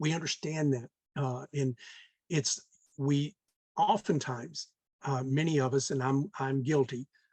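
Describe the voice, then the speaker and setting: Fairly high-pitched, somewhat breathy man with an American accent, fairly slow pace and long, frequent pauses, in a dry, close sound with no echo. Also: ordinary pitch variation. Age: 60s. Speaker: real estate investor. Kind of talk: podcast interview. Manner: many filler words and hesitations.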